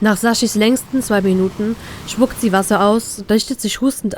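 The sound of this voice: Reading in an unforced reading voice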